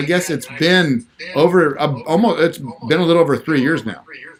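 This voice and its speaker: A fairly high-pitched man at a moderate pace, with ordinary pitch variation, amid noticeable background noise. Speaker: real estate agent and investing show host. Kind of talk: casual livestream chat. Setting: livestream on YouTube and Instagram.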